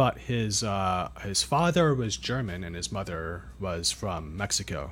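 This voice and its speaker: A man with a General American accent speaks at a fairly low pitch with vocal fry and very wide pitch swings. His pace is fairly slow, and the recording is very clean with a silent background. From California. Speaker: English teacher streamer. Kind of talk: casual live stream chat. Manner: slow, clear for learners.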